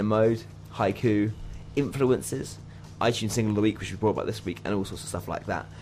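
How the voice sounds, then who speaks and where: A man at a fairly low pitch and very fast pace, with music in the background. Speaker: student radio DJ. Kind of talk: radio DJ patter, scripted jingles and banter. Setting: university radio studio. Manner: animated, jokey, upbeat.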